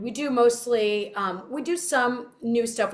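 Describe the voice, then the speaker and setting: A woman talks with a Californian accent. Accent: Californian American. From Southern California. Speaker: singer. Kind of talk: interview.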